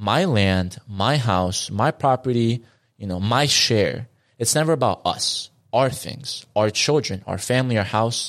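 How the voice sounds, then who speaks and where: The recording is very clean with a silent background. It is an unremarkable speaking voice with lively intonation. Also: man. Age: 20s. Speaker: podcast host, guest. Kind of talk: casual chat.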